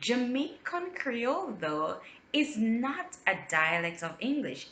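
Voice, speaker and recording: A woman talks at a very slow pace in a high pitch. Her voice makes very wide pitch swings. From Jamaica. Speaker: linguist. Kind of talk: educational talk to camera.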